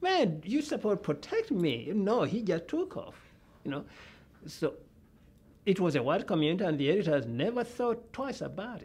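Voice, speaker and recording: This man has a non-native accent and a high pitch. His voice makes very wide pitch swings at a moderate pace. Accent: foreign. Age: old. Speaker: journalism professor. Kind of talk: interview. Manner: halting.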